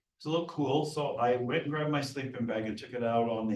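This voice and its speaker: A man's somewhat breathy voice at a fairly quick pace, with ordinary pitch variation. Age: 70s. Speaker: business founder and guest speaker. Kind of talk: motivational presentation.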